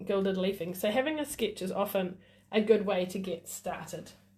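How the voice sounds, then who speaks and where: A woman speaks over noticeable background noise. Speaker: craft demonstrator. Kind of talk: live craft tutorial. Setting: Facebook Live stream. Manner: casual, chatty with fillers.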